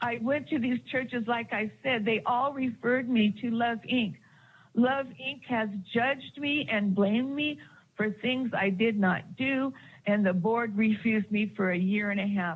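A woman speaks fairly slowly in a fairly high, somewhat breathy voice. Her pitch varies in an ordinary way. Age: 60s. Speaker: public commenter at city council. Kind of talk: public comment testimony. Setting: city council meeting. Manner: impassioned.

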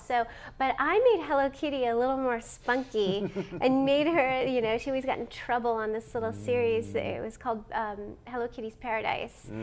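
Light background noise sits behind a woman speaking at a moderate pace. Her pitch is high, with ordinary variation. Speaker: voice actor. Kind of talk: interview answer. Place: meeting room.

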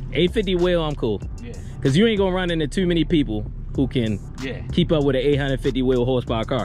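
A man at a fairly quick pace, dry sound with no echo, and clear music in the background. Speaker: car vlogger. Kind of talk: casual vlog chat. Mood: relaxed, friendly. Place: street. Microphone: phone near.

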